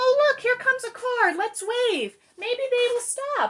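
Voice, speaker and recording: Her pace is fairly slow. The woman adopts a put-on, squeaky character voice pitched extremely high. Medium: read story.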